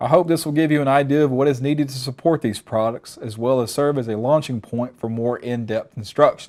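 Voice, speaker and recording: A man with a Southern US accent talks at a fairly quick pace. His pitch variation is ordinary, and the background is quiet. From Alabama. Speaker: technical trainer. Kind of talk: webinar presentation. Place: studio. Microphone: lapel.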